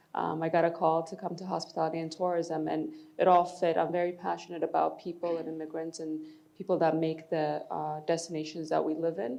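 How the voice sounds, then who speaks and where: Here is a woman talking at a fairly quick pace. Her intonation stays monotone and flat. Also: fairly low pitch for a woman. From Ethiopia, moved to Boston at 12. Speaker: tourism executive. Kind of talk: panel discussion.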